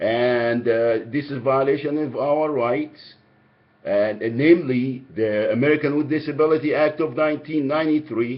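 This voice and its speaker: With a strong Egyptian accent, a man with a fairly high voice speaks at a moderate pace and a fairly even intonation. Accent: heavy Egyptian. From Egypt, Alexandria. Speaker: caller. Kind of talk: phone complaint call. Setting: phone call. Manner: halting.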